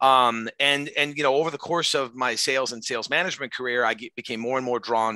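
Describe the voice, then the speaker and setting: A man at medium pitch with a bright, sharp tone, in a very clean recording with a silent background and a dry, close sound with no echo. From France. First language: French. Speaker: sales trainer and consultant. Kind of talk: interview. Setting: live podcast recording.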